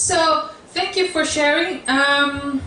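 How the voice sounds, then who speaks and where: A woman talks with a Spanish accent. The room echo is audible and the background noise is noticeable. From South America, then US. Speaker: branding workshop speaker. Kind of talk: workshop talk.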